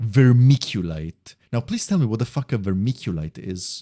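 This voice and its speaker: This man speaks at a fairly low pitch with an Italian accent, a dark, mellow tone and very wide pitch swings. The recording is very clean with a silent background and a dry, close sound with no echo. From Italy. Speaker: video game streamer. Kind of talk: casual live-stream commentary. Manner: occasionally stumbling over words.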